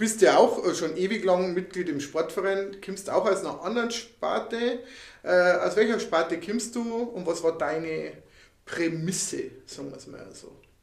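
There is audible room echo as a man talks at a moderate pace with a high pitch. His pitch variation is ordinary, while his loudness swings widely. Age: 50s. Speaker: podcast co-host. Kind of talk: casual chat.

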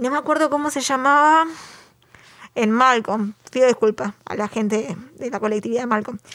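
A woman with a Uruguayan accent speaks in a high pitch. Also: ordinary pitch variation, moderate pace. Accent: Rioplatense Spanish (Uruguay). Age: 30s. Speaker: podcast co-host. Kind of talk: casual chat.

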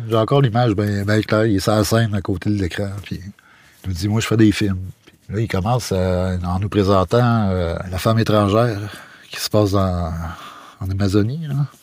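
Speaking in a Quebec accent at a moderate pace, a man with a fairly low pitch keeps his intonation fairly even and takes long, frequent pauses. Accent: Québécois French. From Quebec, Matane (Bas-Saint-Laurent). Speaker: visual artist and photographer. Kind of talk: casual chat.

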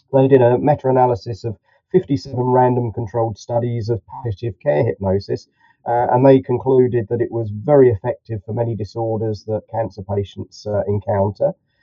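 A man with a southern English accent talks at a fairly quick pace. His pitch is medium, with ordinary variation. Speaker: clinical hypnotherapist.

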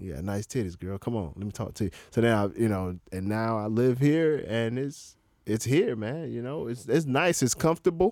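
In a very clean recording with a silent background, a man uses a plain, everyday voice at a medium pitch and moderate pace, with lively intonation. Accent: American. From Florida, US. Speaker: stand-up comedian. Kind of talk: casual chat. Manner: laid-back, slangy.

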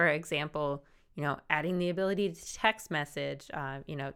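A woman speaks in a bright, sharp tone at a moderate pace with ordinary pitch variation. The recording is very clean, with a silent background. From South Jersey. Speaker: podcast co-host, works in higher education. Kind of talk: casual chat.

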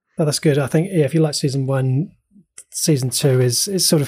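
Somewhat breathy and delivered at a very fast pace with an ordinary pitch range, this voice carries a New Zealand accent on a very clean recording with a silent background. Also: man. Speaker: podcast co-host. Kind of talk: casual chat.

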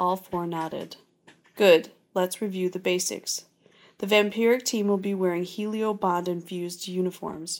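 An unforced reading voice delivered with fairly even intonation.

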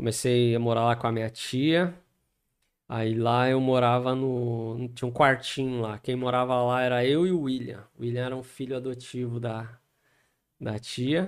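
A man's plain, everyday voice, medium in pitch, with fairly even intonation at a fairly slow pace. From Guarulhos, São Paulo state, Brazil. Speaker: pastor. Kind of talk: casual interview with life story.

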